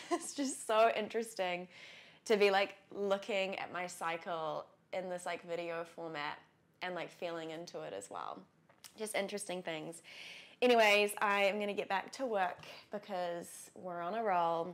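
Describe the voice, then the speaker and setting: In a New Zealand accent, a woman speaks at a moderate pace with big swings in loudness. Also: medium pitch for a woman, ordinary pitch variation. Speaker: lifestyle vlogger. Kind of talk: casual vlog talk to camera. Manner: chatty, many fillers.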